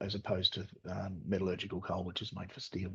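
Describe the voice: A man puts on a character voice that is very deep, low, croaky and raspy. He talks at a very fast pace in a monotone with flat intonation.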